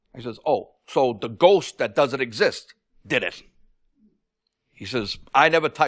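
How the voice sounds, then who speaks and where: Fairly high male voice with lively intonation and big swings in loudness over a quiet background. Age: 60s. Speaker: landlord, defendant in a small-claims TV court case. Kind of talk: courtroom testimony. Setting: TV courtroom. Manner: halting, with many fillers and repetitions.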